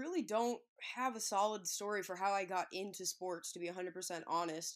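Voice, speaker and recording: This woman has a normal speaking voice at a medium pitch, with ordinary pitch variation. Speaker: sports media personality. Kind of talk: casual interview.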